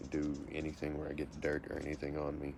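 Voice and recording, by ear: A man with an American accent and an extremely low pitch speaks fast in a monotone, flat intonation.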